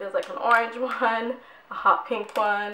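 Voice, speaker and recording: A woman's fairly high-pitched voice over noticeable background noise. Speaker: beauty vlogger. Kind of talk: product review vlog. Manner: casual, chatty.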